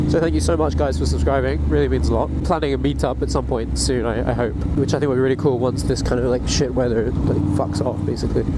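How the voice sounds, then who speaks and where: A man speaks at a very fast pace with hardly any pauses, his very deep, low pitch swinging very widely at very even loudness. Noticeable background noise and audible room echo surround him. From grew up in Africa, moved to UK at 14. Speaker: motorcycle vlogger. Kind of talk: casual monologue. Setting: riding motorcycle outdoors in rain.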